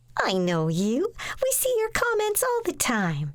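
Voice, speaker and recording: Over light background noise, a woman puts on a squeaky, bubbly character voice at an extremely high pitch, keeping a moderate pace. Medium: read story. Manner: bubbly, chatty.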